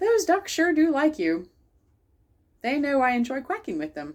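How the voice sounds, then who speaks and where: A woman performs a loud, put-on character voice, high in pitch with very wide pitch swings, at a moderate pace. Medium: read story. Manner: stern, loud.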